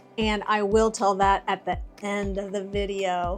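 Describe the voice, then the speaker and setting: Music plays in the background as a woman speaks at a fairly slow pace with fairly even intonation. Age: 60s. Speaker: fitness and wellness YouTuber. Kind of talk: casual tutorial to camera.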